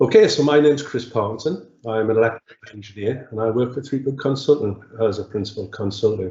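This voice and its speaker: This man speaks at a very fast pace with hardly any pauses. His medium-pitched voice is somewhat breathy, with ordinary pitch variation. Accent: Geordie. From northeast England, Newcastle upon Tyne. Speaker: electrical engineering consultant. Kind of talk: webinar presentation. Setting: webinar. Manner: hesitant, many fillers.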